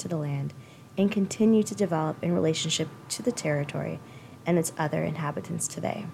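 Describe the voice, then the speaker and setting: A woman with an unremarkable speaking voice and a fairly low pitch. She talks at a fairly quick pace with lively intonation. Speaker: podcast host. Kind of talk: interview; scripted land acknowledgement. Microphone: poor audio early in episode.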